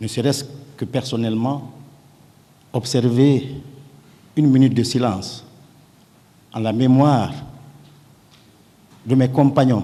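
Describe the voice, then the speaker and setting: Speaking at a fairly slow pace with long, frequent pauses, a man keeps a monotone, flat intonation. His tone is dark and mellow, and the room echo is audible. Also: medium pitch for a man. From Guinea (Kouroussa). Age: 60s. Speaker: witness in a trial, politician and surgeon. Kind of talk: court testimony. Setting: courtroom. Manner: formal.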